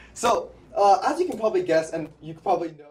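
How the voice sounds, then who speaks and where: A man speaks with a Canadian accent. Noticeable background noise runs under his voice. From Canada, Vancouver. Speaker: political podcast co-host. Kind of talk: interview. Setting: politician's office.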